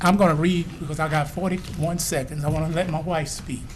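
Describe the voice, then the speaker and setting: Audible room echo surrounds a man speaking at a moderate pace in a fairly high pitch. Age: 60s. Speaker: resident speaking at public hearing. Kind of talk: public hearing comment.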